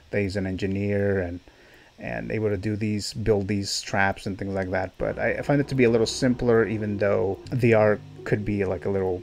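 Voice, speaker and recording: A man's fairly low-pitched voice at a moderate pace, with faint music in the background. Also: fairly even intonation. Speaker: movie reviewer. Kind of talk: review commentary. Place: home room.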